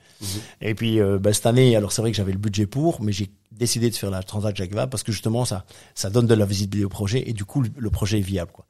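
Talking at a very fast pace, a man with a fairly low pitch and a dark, mellow, somewhat breathy tone keeps his intonation fairly even on a very clean recording with a silent background. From Belgium, Brussels. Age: 50s. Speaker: ocean racing sailor and entrepreneur. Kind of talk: interview. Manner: hesitant, many fillers.

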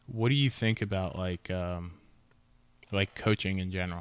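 A man's very deep, low voice, fairly even in intonation at a moderate pace, on a very clean recording with a silent background. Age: 30s. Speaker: podcast host and supplement store owner. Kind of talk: casual chat.

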